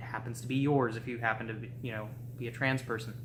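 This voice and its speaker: A man at a medium pitch, very fast and monotone with flat intonation, amid audible room echo and noticeable background noise. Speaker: vlogger. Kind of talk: video blog monologue. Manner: casual, with filler words.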